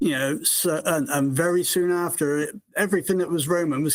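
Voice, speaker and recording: A man speaks with a British accent. His pitch is high. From United Kingdom. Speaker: caller. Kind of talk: casual call-in discussion. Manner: halting, many fillers.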